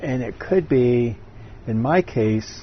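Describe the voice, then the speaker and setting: A man talks while noticeable background noise sounds behind him. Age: 70s. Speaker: interviewee. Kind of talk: interview. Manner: halting; gentle.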